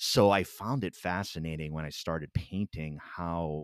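A man with an American accent speaks at a very deep, low pitch. The sound is dry and close with no echo, on a very clean recording with a silent background. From Rhode Island, US. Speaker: podcast host. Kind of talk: casual interview chat. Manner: halting, many fillers.

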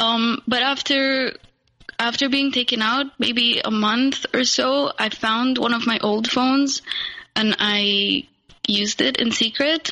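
A woman speaks at a high pitch and a very slow pace. Her intonation is fairly even and her loudness very even. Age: 20s. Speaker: abuse survivor. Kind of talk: testimony. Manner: halting.

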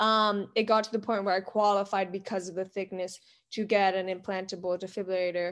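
Over a quiet background, a woman speaks at a fairly quick pace. Her pitch sits in the middle range, and her intonation is monotone and flat. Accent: American. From Miami, Florida. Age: 20s. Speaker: heart patient advocate and film student. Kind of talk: casual interview chat.

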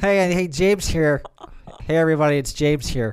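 A man puts on a character voice, nasal and fairly high in pitch. He keeps a moderate pace with ordinary pitch variation.

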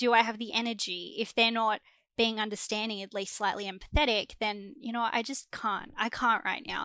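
Fairly high in pitch with a bright, sharp tone, a woman with an Australian accent speaks at a fairly quick pace with fairly even intonation, on a very clean recording with a silent background. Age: 20s. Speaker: graduate student. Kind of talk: casual chat.

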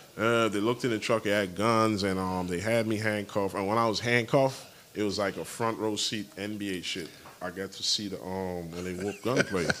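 With an American accent, the speech moves at a fairly quick pace. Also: man, fairly low pitch for a man. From US Virgin Islands (Saint Thomas). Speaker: podcast guest telling life stories. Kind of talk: casual interview chat. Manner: animated.

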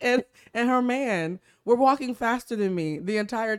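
Lively intonation and an animated tone come through in a dry, close sound with no echo. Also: woman. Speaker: podcast host. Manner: talks like a newscaster; animated, laughs often.

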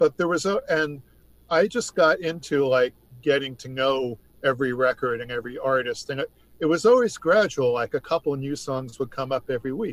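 A man with an ordinary speaking voice and an American accent, fairly high-pitched, at a fairly quick pace with ordinary pitch variation, in a dry, close sound with no echo. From New York State. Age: 60s. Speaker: music writer. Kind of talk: casual chat. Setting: remote call.

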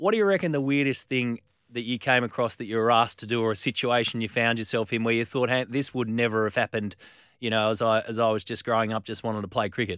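Delivered in an Australian accent at a very fast pace, the speech has fairly even intonation on a very clean recording with a silent background. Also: man, medium pitch for a man, dry, close sound with no echo. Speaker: sports radio host. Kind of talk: radio talk show.

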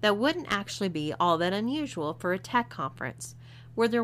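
The intonation is lively. A natural voice reads the material aloud.

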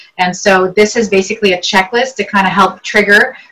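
The speaker has a Virginia accent. The pace is fairly quick. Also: woman. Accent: American, northern Virginia. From Lebanon (Beirut), then northern Virginia from age 8. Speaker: real estate agent. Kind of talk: interview.

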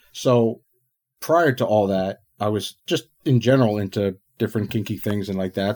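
In a very clean recording with a silent background, a man speaks in an ordinary speaking voice, fairly low in pitch, with ordinary pitch variation. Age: 40s. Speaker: adult content creator's husband. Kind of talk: casual interview chat.

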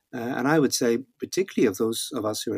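With a Northern Irish accent, a man speaks at medium pitch with ordinary pitch variation and vocal fry, in a dry, close sound with no echo. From Northern Ireland. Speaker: Old Testament scholar and author. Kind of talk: interview conversation. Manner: halting, frequent repetitions.

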